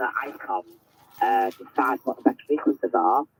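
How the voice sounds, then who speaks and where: Music in the background under a man's moderately paced speech. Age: 50s. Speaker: amateur radio operator. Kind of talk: radio contact conversation. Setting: amateur radio transmission.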